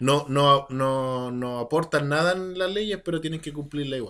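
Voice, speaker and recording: Speaking at a fairly slow pace, a man uses a bright, sharp tone at a fairly high pitch. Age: 30s. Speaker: podcast co-host. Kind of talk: casual chat. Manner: animated.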